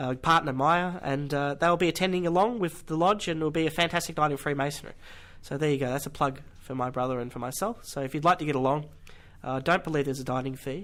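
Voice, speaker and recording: With an Australian accent, a man talks at a very fast pace, fairly high in pitch with ordinary pitch variation. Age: young. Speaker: podcast host. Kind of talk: announcements; podcast interview.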